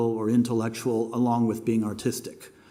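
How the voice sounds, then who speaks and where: A man speaks at a medium pitch with a dark, mellow tone. Audible room echo surrounds his voice. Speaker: animation teacher and filmmaker. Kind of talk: lecture. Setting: masterclass with live audience. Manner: halting, many fillers.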